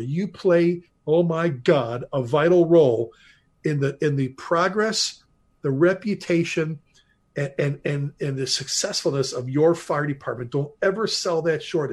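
A man talks at a moderate pace with a fairly high pitch. His pitch varies in an ordinary way. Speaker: retired fire chief. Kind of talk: interview.

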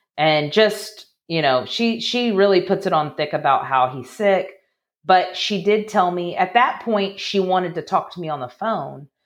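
Lively intonation from a woman at a moderate pace, against a quiet background. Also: medium pitch for a woman. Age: 40s. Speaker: podcast guest sharing adoption-type family story. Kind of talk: personal testimony interview. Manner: halting, many restarts.

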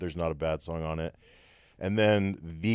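A man's very deep, low voice in a Texan accent, fairly even in intonation, at a moderate pace, with a dry, close sound and no echo. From Texas, Abilene. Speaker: musician and recording engineer. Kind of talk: casual chat.

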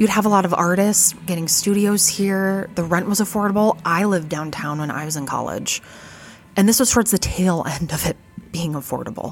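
A woman with a fairly low voice speaks at a fairly quick clip, her pitch moving in an ordinary way, with music playing in the background. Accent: American. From US Midwest, Fargo, North Dakota. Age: 30s. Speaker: podcast host and vintage shop owner. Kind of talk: casual monologue. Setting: retail shop counter.

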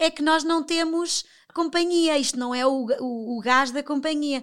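The recording is very clean, with a silent background. A woman speaks at a moderate pace with lively intonation. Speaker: television professional. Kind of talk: casual interview chat.

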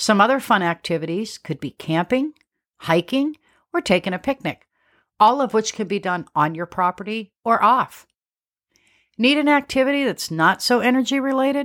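A woman with a fairly high pitch and very wide pitch swings speaks at a moderate pace in a very clean recording with a silent background and a dry, close sound with no echo. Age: 50s. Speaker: homesteading podcast host. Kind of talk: scripted podcast monologue.

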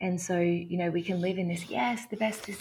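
With an Australian accent, a woman speaks at a fairly quick pace. Her pitch is fairly low. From Australia, small country town near Canberra. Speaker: havening practitioner. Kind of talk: interview conversation; guided exercise.

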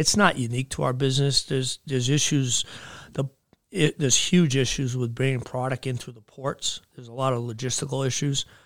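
A man with a New England accent, medium pitch, fairly even intonation and big swings in loudness, on a very clean recording with a silent background. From southern New Hampshire. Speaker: equipment dealership owner. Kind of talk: casual interview. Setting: studio.

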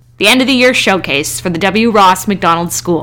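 A woman's voice amid noticeable background noise. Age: 30s. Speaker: artist and podcast host. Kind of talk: scripted narration. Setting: recording at home on a love seat.

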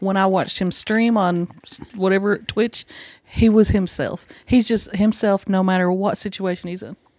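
At a moderate pace and medium pitch, this woman has an unremarkable speaking voice. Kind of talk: casual chat.

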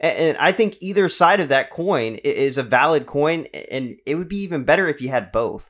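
The speaker has an American accent and lively intonation. The pace is moderate, with hardly any pauses. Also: man, high pitch for a man. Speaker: podcast host. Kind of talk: casual interview.

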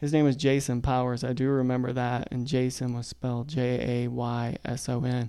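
A man's medium-pitched voice, dark and mellow in tone, with monotone, flat intonation. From South Carolina, Lexington County (rural). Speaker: podcast co-host, artist. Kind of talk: casual chat.

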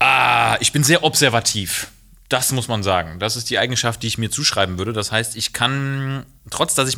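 The man's tone comes across bright and sharp. He keeps to a moderate pace. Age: 30s. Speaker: doctor. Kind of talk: casual chat.

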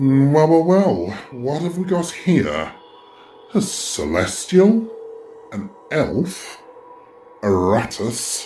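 In a put-on character voice, a man speaks very slowly at a fairly high pitch, with very wide pitch swings and long, frequent pauses. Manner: sneering, sarcastic.

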